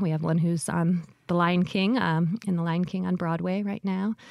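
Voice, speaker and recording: A plain, everyday voice with an American accent, fairly quick pace and fairly even intonation, in a very clean recording with a silent background. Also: woman. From Michigan. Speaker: dance professor. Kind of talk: radio interview. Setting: studio.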